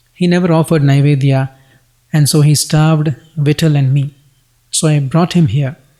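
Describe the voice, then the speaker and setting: With an American accent, a man speaks at a moderate pace and fairly high pitch in a dark, mellow, somewhat breathy tone, his loudness very even, his intonation fairly even, and his pauses long and frequent. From United States. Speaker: devotional text reader. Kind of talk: religious scripture reading.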